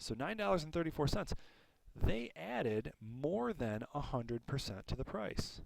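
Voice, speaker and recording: Speaking with a normal speaking voice, a man keeps a moderate pace, medium pitch and lively intonation. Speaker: school math teacher. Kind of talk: tutorial.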